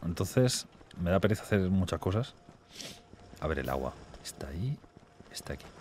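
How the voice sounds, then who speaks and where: Using vocal fry and a dark, mellow tone, a man talks at a very fast pace with very wide pitch swings and long, frequent pauses, over light background noise. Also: big swings in loudness, dry sound with no echo. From Spain, small town. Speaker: gaming YouTuber. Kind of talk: casual gaming chat. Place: home room. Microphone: studio mic.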